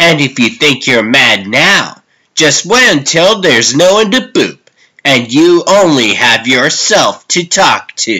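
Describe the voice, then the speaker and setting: In a put-on character voice, the speaker goes at a fairly slow pace with very wide pitch swings and very even loudness. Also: man, fairly high pitch for a man. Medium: dub.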